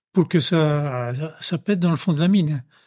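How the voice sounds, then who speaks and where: A man talks in a fairly high voice with fairly even intonation. The recording is very clean, with a silent background. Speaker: retired local resident, miner's son. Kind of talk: casual testimony. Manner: halting, many repetitions.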